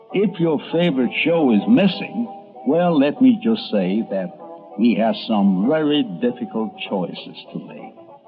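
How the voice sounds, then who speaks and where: With music in the background, a man speaks at a fairly slow pace with very wide pitch swings. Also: fairly high pitch for a man. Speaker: radio and TV columnist. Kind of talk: documentary narration.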